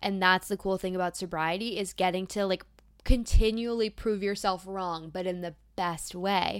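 A woman at a medium pitch and moderate pace in a very clean recording with a silent background. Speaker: podcast host. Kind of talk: pep talk. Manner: warm, encouraging; animated, conversational.

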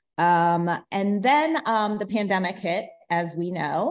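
A woman with an unremarkable speaking voice, medium pitch, a fairly slow pace, and an American accent. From Ohio, US Midwest. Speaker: education technology manager, former principal. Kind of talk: podcast interview.

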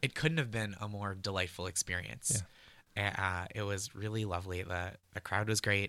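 This man has a fairly low pitch and a bright, sharp tone, with an American accent. He talks at a moderate pace with ordinary pitch variation, on a very clean recording with a silent background. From US Northeast, North Shore of Massachusetts. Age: 30s. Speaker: comedy writer and stand-up comedian. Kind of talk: casual interview.

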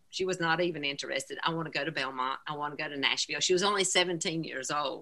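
A woman with a Southern US accent has a very deep, low pitch. She talks at a very fast pace with fairly even intonation. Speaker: singer's mother. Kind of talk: casual chat.

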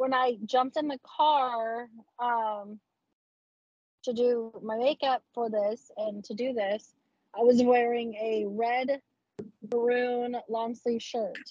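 Speaking with an American accent at a very slow pace, a woman uses a high pitch and monotone, flat intonation, with long, frequent pauses. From Texas. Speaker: adult content creator. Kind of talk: casual interview chat. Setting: video call.

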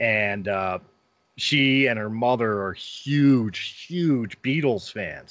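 Over a quiet background, a man with an American accent uses a normal speaking voice at medium pitch with ordinary pitch variation. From Philadelphia, US. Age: 40s. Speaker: podcaster and former pro wrestler. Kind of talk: casual interview chat.

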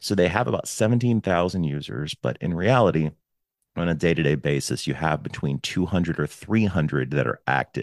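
A man's very deep, low voice with vocal fry, dry and close with no echo, on a very clean recording with a silent background. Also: lively intonation, fairly quick pace. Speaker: podcast host. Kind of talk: casual chat. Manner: loud.

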